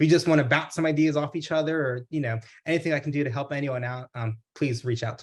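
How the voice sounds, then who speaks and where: A man with an American accent talks very fast in a fairly high, somewhat breathy voice with fairly even intonation. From Texas, Houston. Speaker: pharmacist and business owner. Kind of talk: webinar presentation Q&A. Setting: video call.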